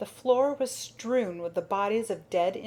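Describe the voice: The recording consists of plain reading aloud.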